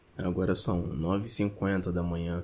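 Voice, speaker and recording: The man's voice has a dark, mellow tone. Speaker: podcaster. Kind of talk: casual monologue.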